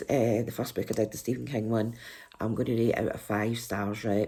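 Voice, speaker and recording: A woman with a very deep, low voice speaks in a Scottish accent. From Scotland. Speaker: book reviewer. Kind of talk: casual vlog review.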